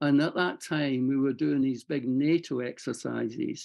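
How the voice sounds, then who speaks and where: Speaking at a moderate pace, a man with a fairly high pitch keeps his intonation fairly even. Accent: Scottish. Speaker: war veteran. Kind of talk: interview. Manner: halting.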